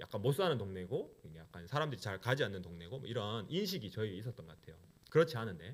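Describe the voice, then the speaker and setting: In a strong Gyeongsang accent, a man talks very fast at a fairly low pitch with very wide pitch swings. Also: big swings in loudness. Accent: Gyeongsang dialect, still strong. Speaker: pastor. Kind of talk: sermon. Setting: church.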